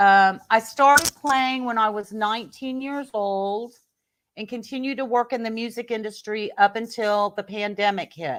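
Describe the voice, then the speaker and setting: An unremarkable speaking voice talks at a moderate pace with ordinary pitch variation. The recording is very clean with a silent background. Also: woman, fairly high pitch for a woman. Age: 60s. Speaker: professional singer and keyboard player. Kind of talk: reading aloud; casual chat. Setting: live video podcast.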